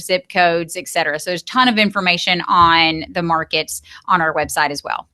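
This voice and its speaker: A woman with an Alabama accent, bright and sharp in tone, at a moderate pace with fairly even intonation, over a quiet background. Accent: country Alabama. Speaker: real estate company CEO. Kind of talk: podcast interview.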